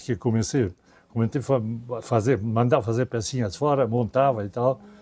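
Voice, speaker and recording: This man has a dark, mellow tone and a medium pitch. He talks at a moderate pace with ordinary pitch variation. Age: 90s. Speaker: expedition veteran and retired businessman. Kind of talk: interview. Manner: halting, with repetitions.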